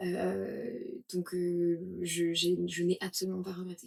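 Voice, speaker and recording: A woman speaking at a very slow pace. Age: 20s. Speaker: yoga teacher and entrepreneur. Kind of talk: interview testimony. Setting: podcast interview. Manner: hesitant, many fillers.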